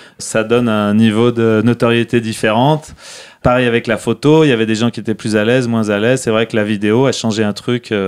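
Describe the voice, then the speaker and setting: This man talks at a fairly quick pace. His intonation is monotone and flat. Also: medium pitch for a man. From France, Lyon. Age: 40s. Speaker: skateboarder and brand founder. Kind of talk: casual interview. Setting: office in Lyon.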